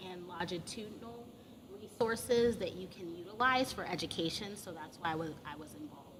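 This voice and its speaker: A woman with a medium-pitched voice talks at a fairly quick pace amid audible room echo. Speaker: emergency medicine professor. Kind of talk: conference presentation. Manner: loud.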